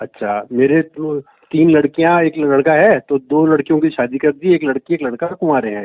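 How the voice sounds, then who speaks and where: A man with a fairly high pitch and an ordinary speaking voice, hardly any pauses. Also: ordinary pitch variation. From Rajasthan, India (Ajmer district). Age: 60s. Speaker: caller, businessman and spiritual seeker. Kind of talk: phone call testimony to spiritual teacher.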